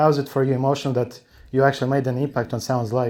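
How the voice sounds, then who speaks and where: In a non-native accent, a man speaks at medium pitch with fairly even intonation. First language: not English. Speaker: fan asking a question. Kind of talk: audience question. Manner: halting.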